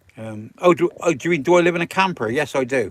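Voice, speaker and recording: This man speaks with a West Country accent. His pace is fairly slow. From Wiltshire, England. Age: 70s. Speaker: vanlife live streamer. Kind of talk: live stream chat reading comments. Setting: in a camper van.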